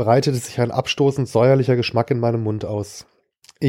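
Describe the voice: Plain reading aloud comes through with quiet behind it.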